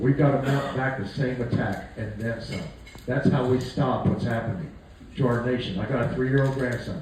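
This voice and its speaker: A medium-pitched male voice at a moderate pace, with audible room echo and noticeable background noise. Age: 60s. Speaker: political candidate and war veteran. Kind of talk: campaign speech with testimony. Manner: folksy, conversational.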